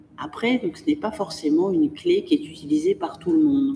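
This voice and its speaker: Noticeable background noise sits under a woman speaking at a moderate pace and medium pitch, her pitch swinging very widely. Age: 50s. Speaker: museum director. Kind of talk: interview. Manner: articulate, with frequent hesitations.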